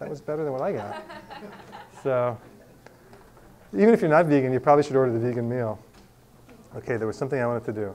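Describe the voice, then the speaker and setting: Very fast speech from a man with an American accent at medium pitch. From US Northeast, Long Island. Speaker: nutrition class teacher. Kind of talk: class lecture.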